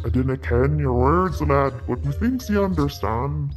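Clear music plays in the background as a woman speaks in a put-on character voice at a fairly slow pace. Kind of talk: comic put-on accent.

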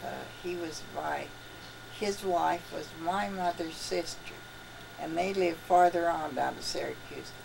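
Over clear background noise, a woman speaks at a fairly slow pace in a low pitch with vocal fry and ordinary pitch variation.

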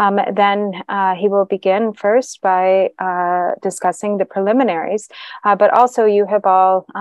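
In a quiet background with a dry sound and no echo, a woman speaks at a fairly slow pace. Her pitch is medium, and her intonation is monotone and flat. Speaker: interpreter for a Buddhist teacher. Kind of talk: interpreted dharma teaching. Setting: meditation center with audience. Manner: halting, many filler sounds. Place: hall.

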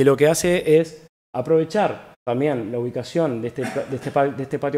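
With an ordinary speaking voice, a man talks at a moderate pace, fairly high in pitch, with ordinary pitch variation. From Uruguay. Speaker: architect. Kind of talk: lecture. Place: hall. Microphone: podium.

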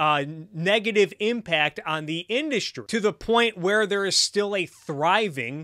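In a raised, projected voice, a man speaks at a fairly slow pace with a bright, sharp tone and ordinary pitch variation, over a quiet background. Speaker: streamer commentator. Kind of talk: political commentary.

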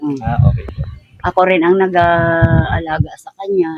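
A woman talks at a moderate pace in a fairly low pitch. Her intonation stays fairly even. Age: 50s. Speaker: impoverished grandmother, thatch maker. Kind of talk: interview. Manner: halting.

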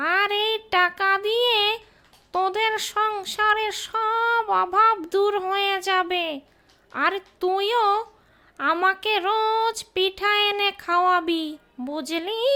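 An extremely high, female-sounding cartoonish character voice. It talks at a very slow pace. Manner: bossy.

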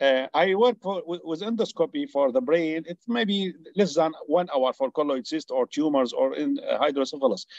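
In a dry recording with no echo and a quiet background, a man speaks at a high pitch with an Arabic accent. His intonation is lively, and he hardly pauses. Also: moderate pace. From Syria. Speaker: neurosurgeon. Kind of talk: Q&A comment in webinar. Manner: halting. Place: home room. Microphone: video call.

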